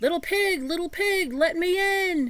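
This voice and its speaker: Squeaky and extremely high, a woman's put-on character voice moves at a moderate pace. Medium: read story. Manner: menacing, blustery.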